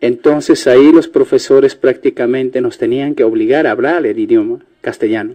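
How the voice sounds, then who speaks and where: A man speaks with an Andean accent. His pace is moderate. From Peru, Ayacucho (Huamanga). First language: Quechua (speaking Spanish). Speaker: Bible translator. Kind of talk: radio interview.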